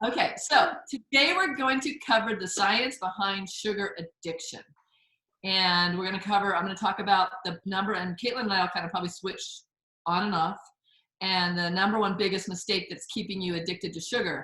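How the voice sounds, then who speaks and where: Bright, sharp tone from a woman at medium pitch, fairly quick pace and ordinary pitch variation. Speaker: recipe teacher and course host. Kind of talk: online class talk. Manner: fast; animated.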